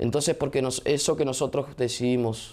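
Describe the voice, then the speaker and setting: Moderate in pace, a man speaks in an ordinary speaking voice. His medium pitch stays fairly even in intonation. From Argentina, Viedma (Río Negro); Argentina. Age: 20s. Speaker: mayoral candidate, politician; candidate. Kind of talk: interview. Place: studio.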